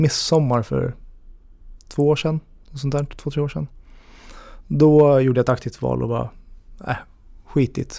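Speaking at a moderate pace with long, frequent pauses, a man uses a dark, mellow tone, fairly even intonation and big swings in loudness. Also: fairly high pitch for a man. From Sweden, Järna (Stockholm region). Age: 30s. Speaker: single on a dating podcast, assistant unit manager. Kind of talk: casual interview.

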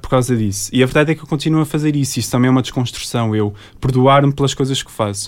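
The man rattles along very fast, his pitch medium and his intonation fairly even. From Azores, Portugal (Terceira and São Miguel). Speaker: environmental engineer and social media creator. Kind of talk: interview.

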